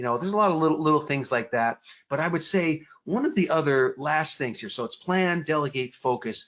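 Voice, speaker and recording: This man has an American accent, an energetic tone and a fairly high pitch. He moves at a fairly quick pace with ordinary pitch variation. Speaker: personal development speaker and author. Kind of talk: podcast interview. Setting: podcast interview. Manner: fast.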